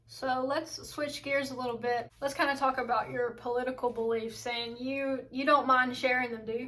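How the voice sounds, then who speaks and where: A woman speaks in a high, bright, sharp voice with monotone, flat intonation, at a moderate pace with hardly any pauses. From Southern United States. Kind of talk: interviewer questions.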